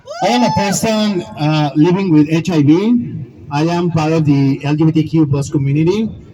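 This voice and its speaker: Against noticeable background noise, a man with a Spanish accent speaks at a moderate pace in a fairly high voice with ordinary pitch variation. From Mexico. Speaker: survivor advocate. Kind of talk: rally speech.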